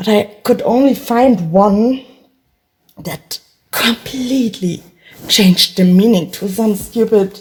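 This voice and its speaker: With a German accent and ordinary pitch variation, a woman speaks at a very slow pace, leaving long, frequent pauses. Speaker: vlogger. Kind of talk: solo monologue vlog. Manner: rambling, halting.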